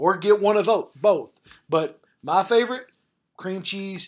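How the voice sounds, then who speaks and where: A man at a moderate pace with ordinary pitch variation, in a Southern US accent. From Arkansas. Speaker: college football head coach. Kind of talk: casual chat.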